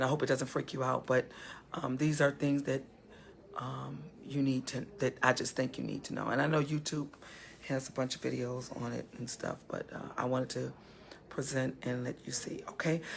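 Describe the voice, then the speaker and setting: At a moderate pace, a woman speaks in a very deep, low pitch with monotone, flat intonation. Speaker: talk show host. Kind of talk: live show wrap-up. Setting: funeral home holding room, on location. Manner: speaking very low; hesitant, many fillers.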